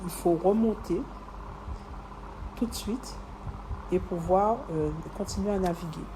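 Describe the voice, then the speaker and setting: Over noticeable background noise, a woman speaks in a calm tone at a fairly low pitch with ordinary pitch variation. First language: other than French, French is heritage language (speaking French). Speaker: podcaster and entrepreneur. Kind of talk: personal reflection monologue. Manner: hesitant, many fillers.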